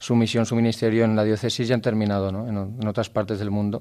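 Recorded very cleanly against a silent background, a man with a dark, mellow tone talks at a fairly quick pace. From Valencia region, Spain (Gandía). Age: 20s. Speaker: seminarian. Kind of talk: radio interview. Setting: radio recording in a seminary.

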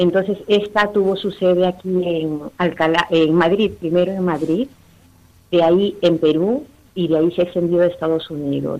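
At a moderate pace, a woman speaks with fairly even intonation. Her voice has a fairly low pitch and a dark, mellow tone. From Peru, Lima. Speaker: Latin American immigrant, parish member. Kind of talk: phone interview. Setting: phone call. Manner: halting.

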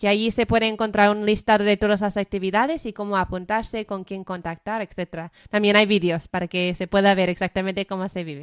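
On a very clean recording with a silent background and a dry, close sound with no echo, a woman with an English-speaking accent and a medium pitch speaks at a fairly quick pace with fairly even intonation and hardly any pauses. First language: English (speaking Spanish). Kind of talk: radio interview. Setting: studio.

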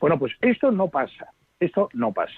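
Very wide pitch swings at a moderate pace. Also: man. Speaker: palliative care doctor. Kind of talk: radio interview.

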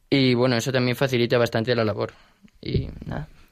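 At a moderate pace, a man with a medium pitch talks in a flat monotone. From Spain, Alicante. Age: young. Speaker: university student. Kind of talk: radio interview.

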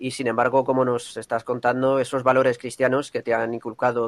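A man talks fairly quickly, his medium-pitched voice held in a flat monotone. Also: dry, close sound with no echo. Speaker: radio host. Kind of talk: radio program hosting. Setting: remote via internet. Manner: formal.

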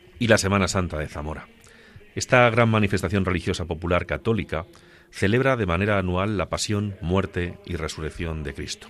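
A very deep, low male voice at a fairly quick pace, with noticeable background noise. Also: ordinary pitch variation. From Spain, Ciudad Real (Agudo). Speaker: radio co-host. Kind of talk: radio talk show; scripted narration.

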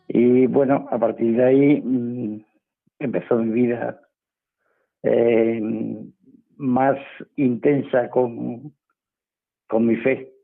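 A man's medium-pitched voice at a very slow pace, monotone and flat, with very even loudness and long, frequent pauses. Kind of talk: radio interview testimony. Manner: cheerful, often smiling.

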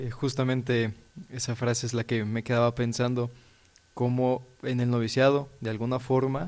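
A man speaks very slowly with a Mexican accent. His medium-pitched voice stays monotone and flat. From Mexico (Puebla, Mexico City). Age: 20s. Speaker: religious novice. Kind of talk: religious radio discussion.

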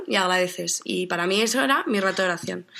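A bright, sharp tone at a fairly quick pace, on a very clean recording with a silent background. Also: woman. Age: 20s. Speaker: university student. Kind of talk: radio interview.

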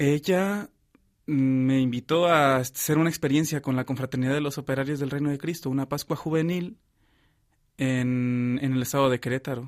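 The recording is very clean, with a silent background. A man talks at a moderate pace in a fairly high pitch with fairly even intonation. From Mexico. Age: 20s. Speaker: seminarian. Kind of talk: testimony. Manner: halting.

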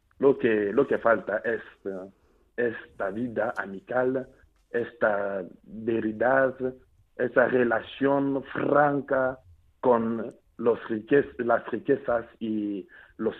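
A man talks very slowly at a medium pitch, with long, frequent pauses. His intonation stays fairly even. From Democratic Republic of the Congo, Mbuji-Mayi. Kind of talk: radio interview. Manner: halting, repeats words.

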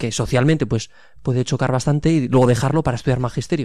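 A man speaks very fast at a medium pitch, his tone dark and mellow. His intonation stays fairly even. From Pamplona, Navarre, Spain. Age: 20s. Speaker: seminarian. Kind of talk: radio interview.

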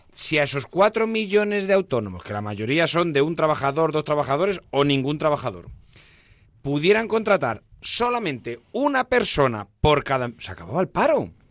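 A fairly high-pitched man, moderately paced, lets his pitch swing very widely. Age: 50s. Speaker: entrepreneur and shop owner. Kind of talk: interview. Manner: animated.

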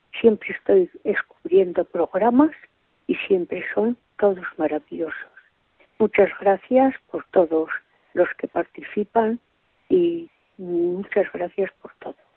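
Very slowly and with long, frequent pauses, a woman of medium pitch speaks with lively intonation and big swings in loudness. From Spain, Zamora province (Villalpando). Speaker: radio listener calling in. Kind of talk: call-in chat. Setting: phone call.

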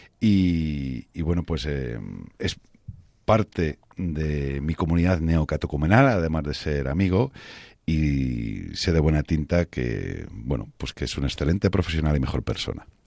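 A very deep, low-pitched man at a fairly slow pace. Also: ordinary pitch variation. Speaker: radio host. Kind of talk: religious radio talk show.

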